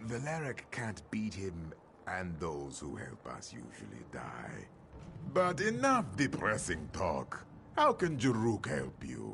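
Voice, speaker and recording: Against clear background noise, a man uses a put-on character voice with a fairly low pitch at a fairly slow pace. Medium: video game. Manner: speaks of himself in third person.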